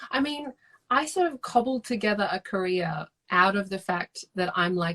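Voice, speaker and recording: The speaker is a woman with an Australian accent. Her voice sounds dry and close, free of any echo. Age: 30s. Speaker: novelist. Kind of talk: casual chat. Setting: video call.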